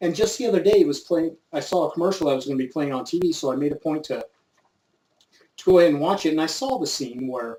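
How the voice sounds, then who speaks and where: A man with an American accent talks at a very fast pace, his pitch fairly high for a man. His intonation is lively and his tone dark and mellow. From US, coastal north San Diego County, Southern California. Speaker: YouTube gun channel host. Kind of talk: casual vlog monologue. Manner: laid-back, casual.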